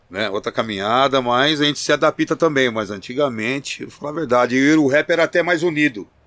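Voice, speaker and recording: An unremarkable speaking voice from a man, fairly high-pitched with ordinary pitch variation, at a fairly quick pace, in a very clean, dry, close recording with a silent background and no echo. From Campinas, São Paulo state, Brazil. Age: 50s. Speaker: rapper, group vocalist. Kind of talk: interview chat. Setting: studio.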